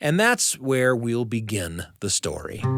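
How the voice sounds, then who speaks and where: A man talks in a plain, everyday voice at medium pitch. His pace is fairly slow and his pitch varies in an ordinary way. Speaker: radio show host. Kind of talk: radio show host narration.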